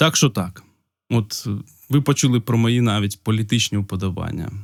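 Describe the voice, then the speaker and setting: A man talks at a medium pitch, varying it in an ordinary way. The background is silent, and the recording is very clean. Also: moderate pace. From Ukraine, Polissia region. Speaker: video blogger. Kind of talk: casual unscripted talk to camera. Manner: hesitant, with pauses.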